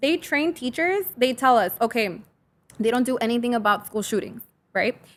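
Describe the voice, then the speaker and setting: On a very clean recording with a silent background, a woman speaks at a high pitch with lively intonation. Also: moderate pace. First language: Spanish. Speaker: high school teacher. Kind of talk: casual chat. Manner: halting.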